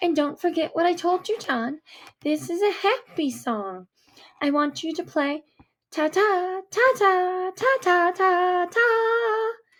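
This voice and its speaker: A woman's squeaky, put-on character voice at extremely high pitch, on a very clean recording with a silent background. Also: fairly slow pace. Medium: read story. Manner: bright, instructive.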